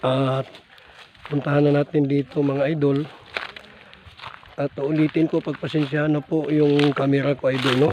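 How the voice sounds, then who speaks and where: Moderate pace with noticeable background noise. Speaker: ghost-hunting vlogger. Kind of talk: casual vlog walkthrough. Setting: outdoors in a cemetery.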